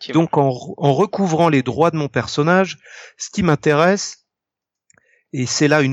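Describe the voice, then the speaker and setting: The recording is dry and close, with no echo. A man speaks at a moderate pace with ordinary pitch variation. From Brittany, France (Ille-et-Vilaine). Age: 40s. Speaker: comic book artist. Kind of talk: casual chat. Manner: talkative, long-winded.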